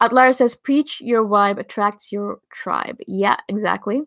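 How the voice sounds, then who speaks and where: A woman with a fairly high pitch speaks with ordinary pitch variation. The sound is dry and close with no echo, in a very clean recording with a silent background. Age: 30s. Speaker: YouTuber on personality types. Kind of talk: live stream Q&A chat. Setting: live stream reading chat comments.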